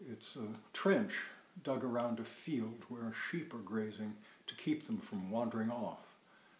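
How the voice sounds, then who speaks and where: Audible room echo surrounds a man speaking at a medium pitch and a fairly slow pace, with ordinary pitch variation. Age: 60s. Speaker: psychoanalyst. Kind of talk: personal storytelling monologue.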